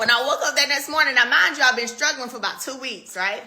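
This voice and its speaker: A woman speaks in a raised, projected voice. Her tone is animated. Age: 30s. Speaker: live stream host selling wellness products. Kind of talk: casual live stream chat. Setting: Instagram live video.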